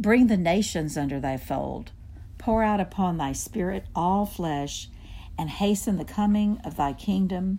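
A woman speaks in a solemn, dark, mellow tone at a medium pitch. Her pace is fairly slow, and her pitch varies in an ordinary way. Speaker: prayer leader. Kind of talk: liturgical prayer, fervent and devout, read aloud in unison with co-leader. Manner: earnest, solemn, reverent, with steady liturgical cadence.

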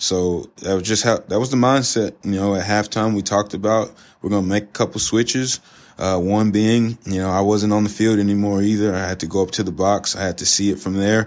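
A man with an American accent, fairly low in pitch, in an ordinary speaking voice. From Southeast Texas, League City in Galveston County. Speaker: college football defensive coordinator. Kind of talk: casual interview. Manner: relaxed, frequent fillers.

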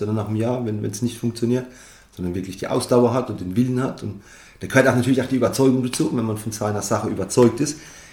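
A man's voice with audible room echo. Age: 30s. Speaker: winemaker. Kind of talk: interview.

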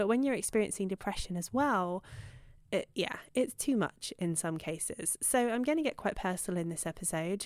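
A woman with a British accent speaks at a moderate pace and medium pitch with lively intonation, on a very clean recording with a silent background. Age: 30s. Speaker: podcast host, dog behaviour professional. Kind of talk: personal monologue.

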